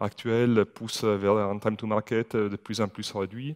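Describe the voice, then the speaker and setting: A man with an Italian accent, fairly low-pitched, at a fairly slow pace, in a monotone, flat intonation, with a dry, close sound and no echo. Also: quiet background. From Italy. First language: Italian (speaking French). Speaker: IT security manager. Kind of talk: conference talk. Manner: hesitant, many fillers.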